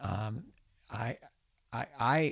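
The speaker is a man. His pitch is medium, with ordinary variation. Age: 70s. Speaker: pastor and professor. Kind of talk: interview conversation.

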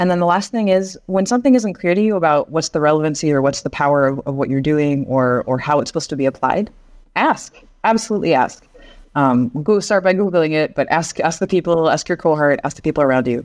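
Speaking very fast with lively intonation, the woman has a very deep, low voice. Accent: Pacific Northwest. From US Northwest, Seattle. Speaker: education and curriculum expert. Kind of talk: interview. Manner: halting, many fillers.

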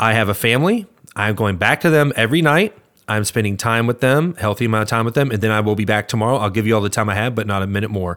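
Very fast delivery with ordinary pitch variation. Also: man, fairly low pitch for a man, very clean recording, silent background. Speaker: podcast co-host. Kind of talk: casual podcast chat about a movie.

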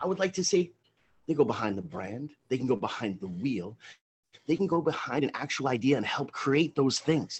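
Speaking in an American accent, a man uses a fairly high, somewhat breathy voice. He moves at a moderate pace with very wide pitch swings. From Long Island, New York. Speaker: radio co-host. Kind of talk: casual interview chat. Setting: radio studio. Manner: effusive, formal introductions.

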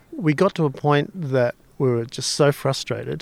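Someone with an Australian accent speaks with ordinary pitch variation on a very clean recording with a silent background. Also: man. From Australia (Victoria, Melbourne). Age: 60s. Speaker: sculptor. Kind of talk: interview. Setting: outdoors.

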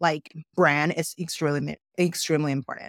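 A woman's very deep, low voice at a moderate pace, dry and close with no echo, on a very clean recording with a silent background. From outside the US. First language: not English. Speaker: venture capitalist and podcast host. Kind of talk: interview.

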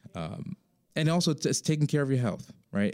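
In a very clean recording with a silent background and a dry, close sound with no echo, a man speaks in a dark, mellow tone. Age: 40s. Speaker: financial advisor podcast host. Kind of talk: solo podcast talk. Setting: studio. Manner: many filler words and hesitations.

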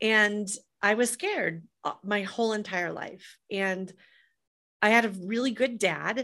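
Very clean recording, silent background, with a woman speaking at a fairly slow pace. Her medium-pitched voice has a bright, sharp tone and ordinary pitch variation. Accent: American. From US Midwest, Des Moines, Iowa. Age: 50s. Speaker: entrepreneur and author. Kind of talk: interview.

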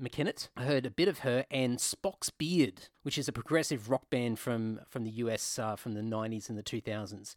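Moderate pace and ordinary pitch variation in an Australian accent, with a dry, close sound, no echo, and a very clean recording with a silent background. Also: man. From Queensland, Australia. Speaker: metal bassist and podcast host. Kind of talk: casual chat.

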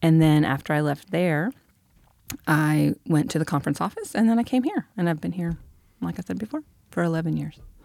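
In a very clean recording with a silent background, a woman speaks at a fairly low pitch with a dark, mellow tone. Her pace is fairly quick and her intonation lively, broken by long, frequent pauses. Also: dry, close sound with no echo. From Michigan, US Midwest. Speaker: pastor. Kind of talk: casual chat. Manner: casual.

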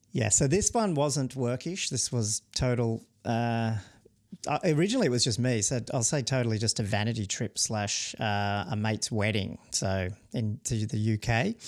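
With an Australian accent, a man speaks at medium pitch with ordinary pitch variation and very even loudness on a very clean recording with a silent background. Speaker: podcast co-host, software founder. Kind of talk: casual chat. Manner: fast.

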